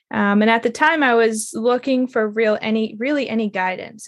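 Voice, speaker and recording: At a moderate pace and against a quiet background, a woman speaks in an unremarkable speaking voice with a fairly high pitch. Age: 30s. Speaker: intimacy and relationship mentor. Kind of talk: interview.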